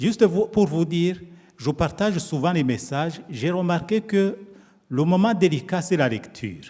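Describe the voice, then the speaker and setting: At a fairly slow pace, a man with a high, dark and mellow voice speaks with lively intonation. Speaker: pastor. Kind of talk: sermon. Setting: church. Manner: soft-spoken.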